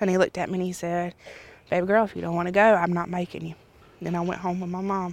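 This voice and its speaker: A woman's fairly low, monotone voice with a Southern US accent and flat intonation at a very fast pace. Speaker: daughter of a slain police officer. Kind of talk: interview.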